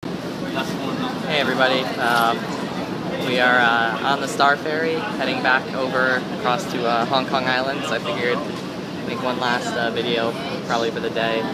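Loud background noise surrounds a man talking, and the sound is dry with no echo. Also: moderate pace. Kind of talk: casual vlog chat. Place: boat. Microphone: phone near.

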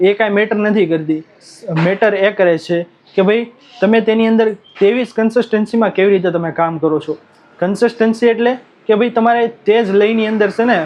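Here a man speaks with a high pitch. The pitch varies in an ordinary way. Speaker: YouTube creator giving growth tips. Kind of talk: tutorial. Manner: animated.

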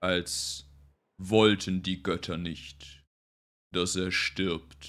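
Putting on a character voice, a man speaks very slowly at a very deep, low pitch. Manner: calm, dignified, gracious.

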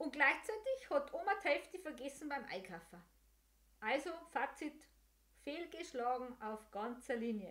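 Speaking with a Bavarian accent, a woman with a high voice talks at a fairly slow pace, her pitch swinging very widely between long, frequent pauses. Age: 50s. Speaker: podcast host and senior care service owner; podcast host. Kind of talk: casual monologue. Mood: warm, humorous. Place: home room. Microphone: studio mic.

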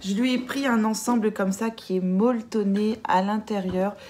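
A woman speaks at a moderate pace with a dark, mellow tone.

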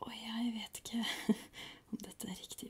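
The woman speaks in a whisper. Her voice is soft-spoken. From Norway. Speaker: ASMR creator. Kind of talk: ASMR educational talk. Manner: whispered, soft-spoken. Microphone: studio mic.

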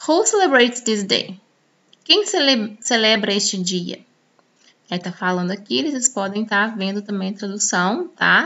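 A woman with a fairly high voice speaks at a fairly slow pace with lively intonation. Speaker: English teacher. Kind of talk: tutorial. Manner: casual, conversational with many filler words.

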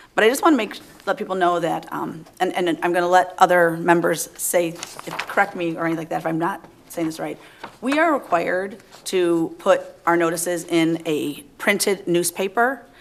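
Against noticeable background noise, a woman with a fairly low pitch talks at a moderate pace. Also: ordinary pitch variation. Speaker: city council member. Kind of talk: council meeting remarks. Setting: council chambers. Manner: halting.

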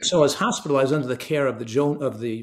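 A man speaks fairly quickly. The background is quiet. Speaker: guest. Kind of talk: interview answer. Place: home room.

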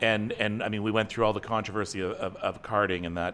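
A man talks at a fairly quick pace with a Canadian accent. His tone is bright and sharp. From Northern Ontario, Canada; Ontario, Canada. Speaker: online talk show host. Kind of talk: casual chat. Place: home room. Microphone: studio mic.

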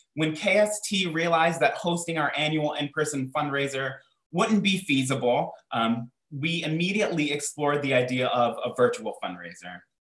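A man at a fairly high pitch with lively intonation, audible room echo, and a quiet background. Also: moderate pace. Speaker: theater director and moderator. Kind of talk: panel moderation. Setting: video call. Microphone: video call.

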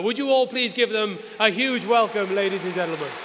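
Crowd noise rises in the background as a man talks. His pitch is high, with ordinary variation. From Wales. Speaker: TV sports presenter. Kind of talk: event host address to live audience. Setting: live hall with audience. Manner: lively, engaging. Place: hall. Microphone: podium.

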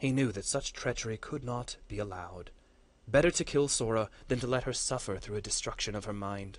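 Ordinary pitch movement in plain reading aloud.

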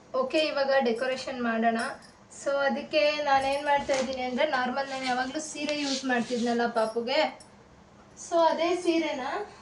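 A woman talks in a high pitch with fairly even intonation. Audible room echo surrounds her voice. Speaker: vlogger and mother. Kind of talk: craft tutorial vlog. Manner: casual, chatty. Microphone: far from camera, voice may be quiet.

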